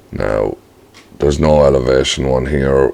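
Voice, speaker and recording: A man speaks with a very deep, low pitch and a monotone, flat intonation. He keeps a moderate pace over noticeable background noise. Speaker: software tutorial presenter. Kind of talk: tutorial. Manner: casual, hesitant with fillers.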